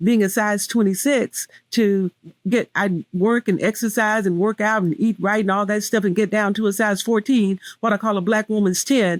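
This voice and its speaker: A woman with a Southern US accent talks at a moderate pace and medium pitch, with fairly even intonation, very even loudness and a dry, close sound with no echo. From US South. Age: 60s. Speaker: weight loss speaker. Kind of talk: interview testimony.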